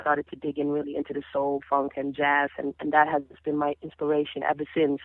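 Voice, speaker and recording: A woman with a Dutch Caribbean accent talks at a fairly quick pace in a very deep, low voice with monotone, flat intonation. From Caribbean (Dutch Caribbean). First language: Papiamento. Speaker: singer. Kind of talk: interview.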